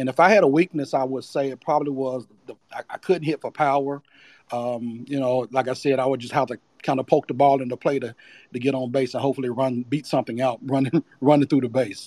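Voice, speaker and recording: Speaking with an American accent at a fairly quick pace, a man uses a normal speaking voice of medium pitch and fairly even intonation in a dry, close sound with no echo. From Charlotte, North Carolina. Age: 50s. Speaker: baseball coach and recruiter. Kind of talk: podcast interview. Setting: audio call on social app.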